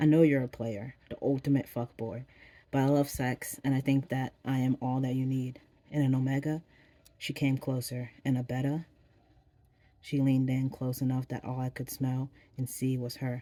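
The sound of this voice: With a dark, mellow tone, the voice moves at a moderate pace and shows little pitch movement.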